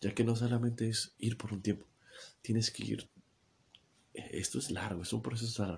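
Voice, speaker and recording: A man's medium-pitched voice with vocal fry at a moderate pace. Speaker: podcaster. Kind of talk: personal testimony monologue. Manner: halting, many repetitions and fillers.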